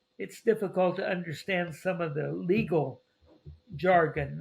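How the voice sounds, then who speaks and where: A man speaks with an American accent at a fairly slow pace. His pitch is fairly high, and there is vocal fry. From US Midwest (Missouri). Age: 80s+. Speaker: retired missionary. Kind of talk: interview.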